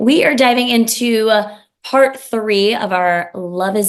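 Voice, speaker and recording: Lively intonation colors a woman's speech. Her pace is very slow. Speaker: podcast host. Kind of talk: casual monologue. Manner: casual, with fillers.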